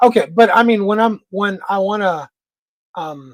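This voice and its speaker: A woman speaks with an American accent. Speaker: livestream host. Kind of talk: casual chat. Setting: livestream. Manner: fast.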